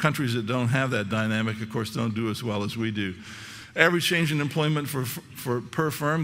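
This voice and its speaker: Audible room echo surrounds a man speaking at a very fast pace. His pitch is medium, with ordinary variation. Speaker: economist. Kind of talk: conference talk.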